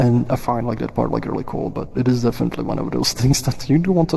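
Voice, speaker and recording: A man talks at a very fast pace with a Czech accent. Noticeable background noise sits behind him. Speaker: VR platform developer and livestream host. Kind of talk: casual livestream chat. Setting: social VR livestream. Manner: halting, many fillers.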